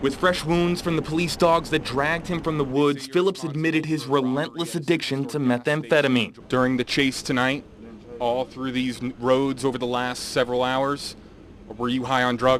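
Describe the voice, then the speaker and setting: An unremarkable speaking voice moves at a moderate pace with fairly even intonation. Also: man, medium pitch for a man. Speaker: local TV news reporter. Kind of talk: TV news report, anchor-style delivery.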